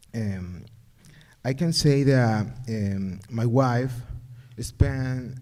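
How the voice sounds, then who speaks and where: A man with an Ecuadorian accent speaks at medium pitch in a dark, mellow tone. His pitch varies in an ordinary way, and audible room echo surrounds him. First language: Spanish. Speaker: parent. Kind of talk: public comment at community forum. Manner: halting.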